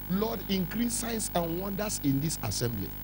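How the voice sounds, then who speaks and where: A man with a Nigerian accent speaks at a fairly slow pace in an animated tone. Music plays in the background. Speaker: pastor. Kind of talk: fiery revival sermon with call-and-response, demanding louder amens from the congregation. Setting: church. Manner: insistent and rousing, repeating declarations to drive them home; animated, teasing the crowd and slipping into pidgin asides.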